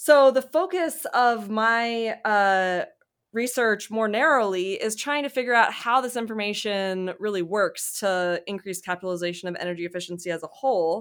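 A woman with an American accent has a plain, everyday voice at medium pitch with ordinary pitch variation. She talks at a moderate pace in a very clean recording with a silent background. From US South, Mississippi. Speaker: economics professor. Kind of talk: interview about research.

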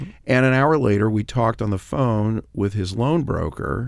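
A man with an American accent, an ordinary speaking voice, fairly low pitch and ordinary pitch variation, at a fairly quick pace. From Los Angeles. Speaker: radio host and attorney. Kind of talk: casual chat. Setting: studio.

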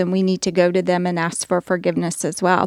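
Speaking at a fairly quick pace with an American accent, a woman has a normal speaking voice at medium pitch, recorded with a dry, close sound and no echo. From US South. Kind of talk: casual faith discussion.

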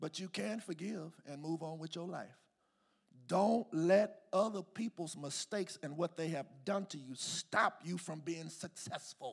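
An animated man's voice, high in pitch with ordinary pitch variation, at a fairly slow pace. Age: 40s. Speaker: pastor. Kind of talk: sermon.

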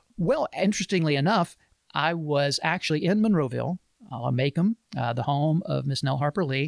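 With an Alabama accent, a man speaks at a moderate pace in a fairly high pitch, the sound dry and close with no echo in a very clean recording with a silent background. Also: ordinary pitch variation. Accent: US Southern (Alabama). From Alabama, Montgomery. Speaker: pastor and podcast co-host. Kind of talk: casual book discussion.

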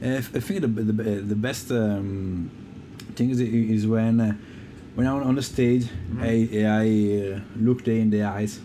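In an Italian accent, a man speaks at a very slow pace and medium pitch, with audible room echo. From Italy. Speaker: keyboardist and sound engineer. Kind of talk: casual interview chat. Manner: halting, many hesitations.

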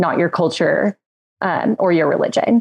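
Here is an ordinary speaking voice at a moderate pace with ordinary pitch variation. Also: woman. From Texas (Midland). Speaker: human rights advocacy director. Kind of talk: podcast panel discussion.

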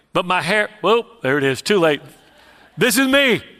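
Bright and sharp in tone, a man with an American accent talks at a moderate pace. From Houston, Texas. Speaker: evangelist preacher. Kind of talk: sermon with personal testimony.

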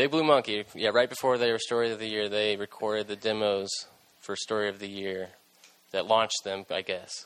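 Here is a man with an American accent and a normal speaking voice. His pitch is fairly low and his pace fairly quick. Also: fairly even intonation. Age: 20s. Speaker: podcast host. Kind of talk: casual interview. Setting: studio.

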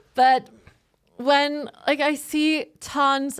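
Recorded very cleanly with a silent background and a dry, close sound with no echo, a woman speaks with a Norwegian accent. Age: 30s. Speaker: podcast co-host and journalism student. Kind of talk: casual chat.

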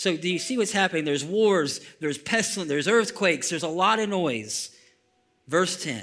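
Here a man speaks at a fairly quick pace. His high pitch carries lively intonation. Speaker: pastor. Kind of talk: sermon; fervent closing prayer, spoken aloud to a congregation. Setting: church. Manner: halting with frequent repeats and fillers.

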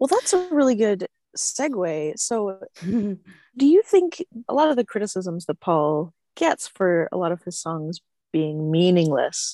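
The woman's tone is dark and mellow, her pitch medium with very wide swings. She speaks fairly slowly, and the sound is dry and close with no echo. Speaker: podcast co-host. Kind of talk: podcast interview.

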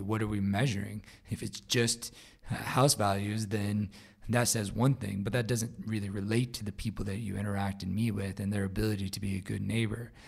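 Speaking fairly quickly with a Midwestern accent, a man keeps a flat monotone at a fairly low pitch. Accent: general American, Midwestern. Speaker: podcast host. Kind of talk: solo podcast update.

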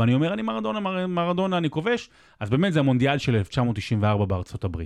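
A man's voice with very wide pitch swings. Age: 30s. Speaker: sports podcast host. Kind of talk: storytelling; casual chat.

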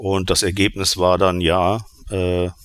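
A man's voice, very deep and low in pitch. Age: 50s. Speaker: insurance association department head. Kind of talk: panel discussion.

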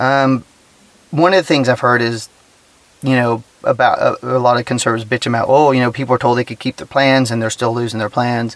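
A man with a normal speaking voice and an American accent talks at a fairly quick pace, with medium pitch and fairly even intonation. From Texas. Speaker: podcast host. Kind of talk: casual solo commentary. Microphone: cheap recording gear.

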